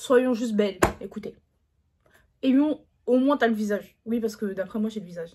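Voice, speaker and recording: A woman's somewhat breathy voice has a dark, mellow tone, ordinary pitch variation, big swings in loudness and long, frequent pauses. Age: 20s. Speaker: YouTuber. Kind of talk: casual talk to camera.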